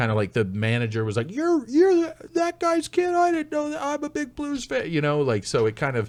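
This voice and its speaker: Delivery is fairly quick with hardly any pauses, in a slight Canadian accent. The recording is very clean, with a silent background. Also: man. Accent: slight Canadian traits. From United States, with much time in Canada. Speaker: stand-up comedian. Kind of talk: casual podcast chat.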